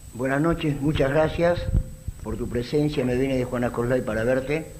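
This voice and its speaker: Moderate pace with long, frequent pauses and fairly even intonation, plus noticeable background noise and audible room echo. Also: man. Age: 70s. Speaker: audience member asking a question. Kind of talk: audience question.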